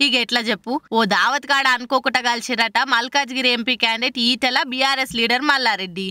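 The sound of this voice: Speaking at a fast pace, a woman with a fairly high pitch and a bright, sharp tone keeps a fairly even intonation in a dry, close sound with no echo.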